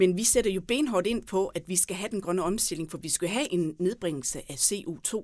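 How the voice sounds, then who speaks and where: In a normal speaking voice at a medium pitch, a woman talks at a moderate pace with lively intonation and hardly any pauses, on a very clean recording with a silent background. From Southern Jutland, Denmark (Tønder area). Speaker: mayoral candidate. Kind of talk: interview.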